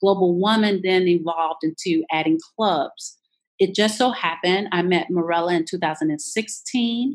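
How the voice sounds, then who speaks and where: A woman with an American accent speaks at a fairly slow pace with an unremarkable speaking voice. Her pitch is medium and varies in an ordinary way. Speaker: business coach. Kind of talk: interview.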